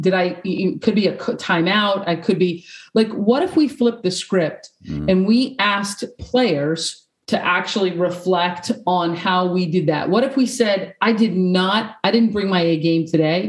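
Delivered at a fairly slow pace, an ordinary speaking voice keeps very even loudness and ordinary pitch variation. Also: woman, medium pitch for a woman. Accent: American. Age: 40s. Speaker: peace and sport coaching consultant. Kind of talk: interview. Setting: video call.

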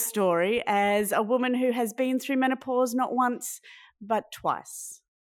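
A woman speaks in an Australian accent with a high pitch and ordinary pitch variation. The recording is very clean, with a silent background. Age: 40s. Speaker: podcast host. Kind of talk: interview.

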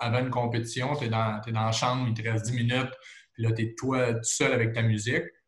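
With audible room echo, a man speaks at a fairly quick pace and a medium pitch. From Quebec, Trois-Rivières region. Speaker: sports TV host and former football player. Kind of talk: casual interview. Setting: video call.

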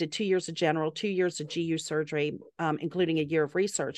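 Against a quiet background, a woman with a Southern US accent talks at a very fast pace in a fairly low pitch with fairly even intonation. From US South, Atlanta and South Carolina. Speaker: medical doctor. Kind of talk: casual chat.

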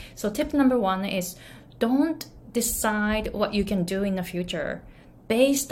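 A woman with a Japanese accent, fairly high pitch, somewhat breathy, and ordinary pitch variation. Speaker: pronunciation and business coach. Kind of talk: solo vlog talk to camera.

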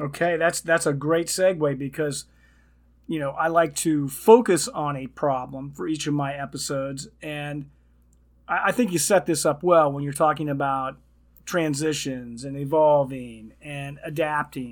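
On a very clean recording with a silent background, a man with an ordinary speaking voice and fairly high pitch talks at a fairly slow pace, with ordinary pitch variation and big swings in loudness. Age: 60s. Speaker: podcast host and retirement coach. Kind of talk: casual interview.

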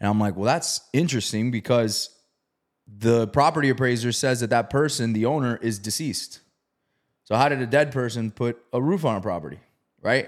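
This is a normal speaking voice with ordinary pitch variation. The delivery moves at a fairly quick pace. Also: man, medium pitch for a man. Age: 30s. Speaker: real estate investor. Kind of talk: casual interview, storytelling.

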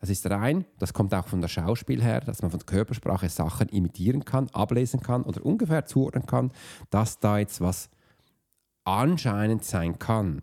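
In a very clean recording with a silent background, a man speaks at a moderate pace with a fairly low pitch, a dark, mellow tone, vocal fry and lively intonation.

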